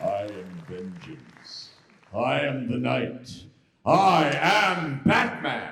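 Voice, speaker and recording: Put-on character voice at a very slow pace, with very wide pitch swings, big swings in loudness and audible echo. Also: man, medium pitch for a man. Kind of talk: panel Q&A answer. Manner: dark, intense.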